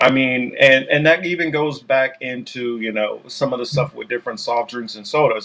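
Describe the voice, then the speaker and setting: Speaking at a medium pitch, a man keeps a moderate pace. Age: 40s. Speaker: podcast host. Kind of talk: casual chat. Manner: halting, many fillers.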